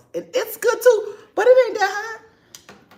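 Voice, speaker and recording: An American accent amid noticeable background noise. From New York. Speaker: YouTuber. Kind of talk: casual live stream chat. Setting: home kitchen.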